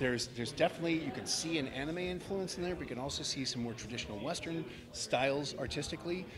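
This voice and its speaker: A man talks at a very fast pace with hardly any pauses, and noticeable background noise runs underneath. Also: fairly high pitch for a man, ordinary pitch variation. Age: 50s. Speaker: voice actor. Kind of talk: casual interview. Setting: fan convention. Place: hall. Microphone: handheld.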